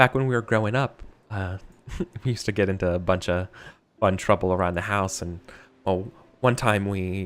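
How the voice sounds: A natural reading voice. The pitch varies in an ordinary way.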